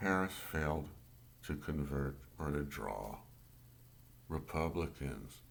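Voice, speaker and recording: Vocal fry marks very slow speech with audible room echo. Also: man. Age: 60s. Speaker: amateur political commentator. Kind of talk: political rant monologue. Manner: halting, self-correcting.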